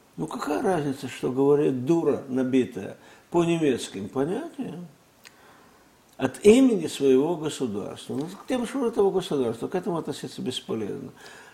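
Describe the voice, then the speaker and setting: At a moderate pace, a man speaks in a fairly high voice with very wide pitch swings. His tone is dark and mellow, and somewhat breathy. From Russia. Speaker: former intelligence agency chief. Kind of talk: interview. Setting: studio.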